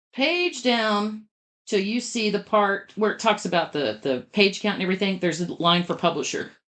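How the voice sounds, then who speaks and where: An unremarkable speaking voice at a moderate pace. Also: woman, medium pitch for a woman, ordinary pitch variation. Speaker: podcast co-host, publishing company head. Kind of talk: casual explanatory chat.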